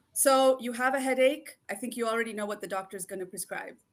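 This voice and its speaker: Fairly high female speech with ordinary pitch variation. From Kenya. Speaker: naturopathic doctor. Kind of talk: interview. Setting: live video show.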